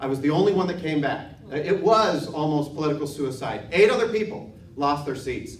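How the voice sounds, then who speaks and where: Someone with an American accent talks with lively intonation, with noticeable background noise and audible room echo. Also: man. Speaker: political candidate. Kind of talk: candidate forum answer. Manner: fast.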